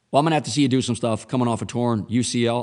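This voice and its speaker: This voice belongs to a man. It has a medium pitch. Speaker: football podcast host. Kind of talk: solo sports analysis podcast. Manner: casual, animated.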